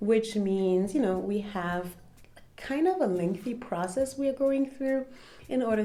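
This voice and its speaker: A woman speaks at a moderate pace with a dark, mellow tone. Her intonation is lively. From Germany. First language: German. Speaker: content creator. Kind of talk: casual chat. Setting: at home.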